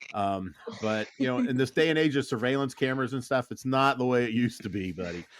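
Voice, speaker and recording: Over noticeable background noise, a man talks at a very fast pace at medium pitch with ordinary pitch variation. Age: 60s. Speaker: podcast host and pest control technician. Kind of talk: casual chat. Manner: halting.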